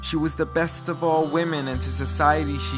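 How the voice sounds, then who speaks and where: Very wide pitch swings at a moderate pace, over music in the background. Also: man. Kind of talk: spoken word poetry.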